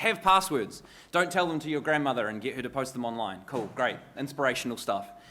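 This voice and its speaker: Speaking at a fairly quick pace, a man uses a New Zealand accent and a fairly high pitch. His tone is bright and sharp, with very wide pitch swings. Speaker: cybersecurity consultant. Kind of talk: conference talk. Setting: stage with audience. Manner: fast.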